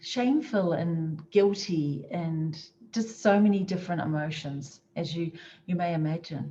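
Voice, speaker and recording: With a New Zealand accent, a woman speaks at a fairly slow pace and a fairly low pitch with ordinary pitch variation. Her tone is dark and mellow and somewhat breathy. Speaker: motivational speaker. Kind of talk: motivational talk.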